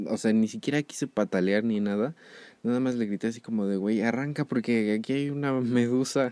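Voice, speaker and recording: In a very clean recording with a silent background and a dry, close sound with no echo, a man with a dark, mellow tone and medium pitch speaks at a moderate pace with fairly even intonation and very even loudness. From Mexico City. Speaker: podcast host. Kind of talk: casual solo podcast monologue. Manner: hesitant, many fillers.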